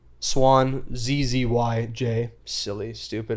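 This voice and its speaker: A man mumbles at a medium pitch. His intonation is flat and monotone. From western Canada. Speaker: former streamer. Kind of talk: casual chat. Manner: mumbling.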